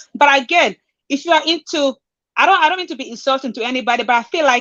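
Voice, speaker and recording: A woman with an African accent speaks at a high pitch. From southern Africa, Angola/Namibia. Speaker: panel guest. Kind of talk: casual discussion.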